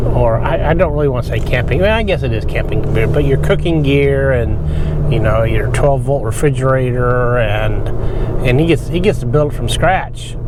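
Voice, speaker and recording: A man at a moderate pace, his loudness very even, with noticeable background noise and audible room echo. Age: 60s. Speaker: RV vlogger. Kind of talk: casual monologue while driving. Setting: in a truck. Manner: halting, many repetitions and fillers.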